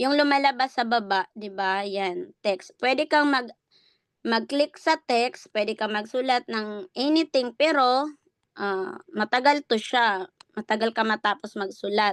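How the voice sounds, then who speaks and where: A woman speaks at a fairly slow pace, her pitch fairly high and her intonation lively. The sound is dry and close, with no echo. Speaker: online business coach. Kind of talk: tutorial. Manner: raised voice.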